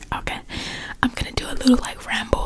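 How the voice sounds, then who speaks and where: Someone speaks at a fairly quick pace against loud background noise. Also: woman. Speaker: ASMR creator. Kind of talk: casual rambling talk to viewers. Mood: relaxed, reflective. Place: home room. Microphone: studio mic.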